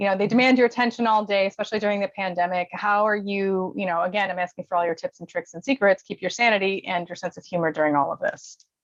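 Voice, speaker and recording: A woman's medium-pitched voice, very fast and lively in intonation, with a dry, close sound and no echo. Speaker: life coach and interviewer. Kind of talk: casual interview chat. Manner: animated.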